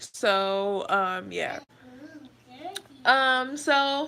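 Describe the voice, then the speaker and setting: The voice has a bright, sharp tone. Its intonation is lively. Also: woman. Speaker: beauty vlogger. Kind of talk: casual storytelling while doing makeup. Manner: soft, not projecting.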